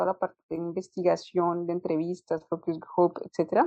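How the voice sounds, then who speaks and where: Her dark, mellow tone comes through at a moderate pace, the woman's voice dry and close with no echo. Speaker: UX designer. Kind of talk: interview. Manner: halting, repeats words.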